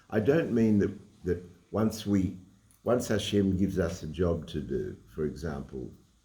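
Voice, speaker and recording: A man with an Australian accent speaks in a fairly low, somewhat breathy voice with a dark, mellow tone. Audible room echo surrounds him. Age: 80s+. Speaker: Torah teacher and lawyer. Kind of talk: religious lecture. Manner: halting, with frequent repetitions.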